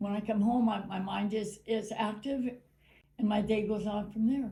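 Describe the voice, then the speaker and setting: Somewhat breathy and dark, mellow in tone, a woman's voice sits at a fairly high pitch and a moderate pace. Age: 80s+. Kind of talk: interview answer. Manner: casual, upbeat.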